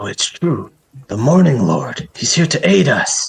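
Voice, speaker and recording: A man uses a put-on character voice with lively intonation and a fairly high pitch. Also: moderate pace. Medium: actual play. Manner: gentle, earnest, devout.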